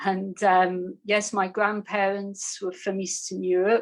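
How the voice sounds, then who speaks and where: At a medium pitch, a woman speaks with monotone, flat intonation. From northeast England (Newcastle). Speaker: meditation teacher. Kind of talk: personal testimony on a panel.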